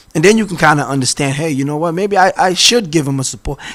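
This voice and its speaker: The speech comes at a very fast pace with lively intonation. Noticeable background noise runs underneath. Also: man. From Boston. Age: 40s. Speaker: city council candidate. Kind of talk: interview.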